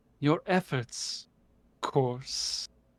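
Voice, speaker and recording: A resonant, put-on character voice unfolds at a very slow pace. The recording is very clean, with a silent background. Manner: calming, gracious.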